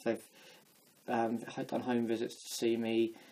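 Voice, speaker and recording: A man mumbles at a medium pitch. His tone is dark and mellow. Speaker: vlogger. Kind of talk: personal testimony vlog. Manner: mumbling; halting.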